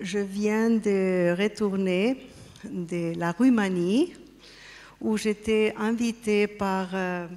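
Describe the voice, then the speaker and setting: Speaking at a very slow pace with long, frequent pauses, a woman with a non-native accent has a dark, mellow tone. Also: medium pitch for a woman, fairly even intonation. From Spain and Austria. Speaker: artist and pyramid project representative. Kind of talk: conference talk. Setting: stage with audience. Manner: halting.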